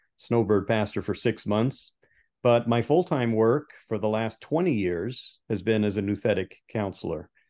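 Against a quiet background, a man with a dark, mellow tone speaks at a fairly slow pace in a fairly low pitch, with ordinary pitch variation. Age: 60s. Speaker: pastor and biblical counselor. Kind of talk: interview conversation.

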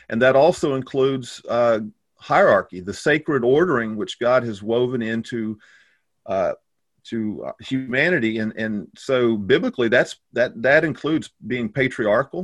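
Against a quiet background, a man with a Texan accent speaks at a medium pitch with ordinary pitch variation. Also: moderate pace. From Texas. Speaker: pastor. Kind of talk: casual chat.

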